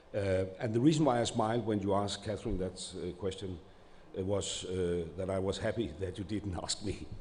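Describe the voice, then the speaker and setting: Here a man speaks at a fairly quick pace with a non-native accent. His pitch varies in an ordinary way. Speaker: government minister. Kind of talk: panel discussion. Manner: halting.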